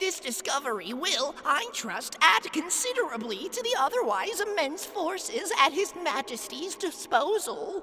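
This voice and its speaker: Someone talks in a put-on character voice at a moderate pace. There are hardly any pauses, and background noise is clear. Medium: read story. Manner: formal, deferential, long-winded.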